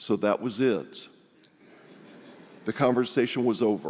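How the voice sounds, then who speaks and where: Speaking in a Texan accent, a man has a medium pitch and a dark, mellow tone with vocal fry. He keeps a moderate pace. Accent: Texan American English. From US South, Houston, Texas. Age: 60s. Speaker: congregation member speaker. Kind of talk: personal testimony speech.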